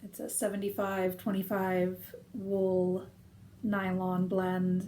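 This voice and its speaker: This woman has an American accent. She speaks at a medium pitch. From United States. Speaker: knitting video podcaster. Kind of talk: casual chat. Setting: conservatory, rain on thin roof.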